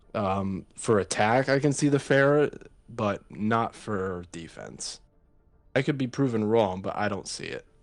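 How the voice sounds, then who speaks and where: Over music in the background, a man talks at a fairly slow pace and a medium pitch, with ordinary pitch variation. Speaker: esports commentator. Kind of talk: live commentary. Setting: live stream.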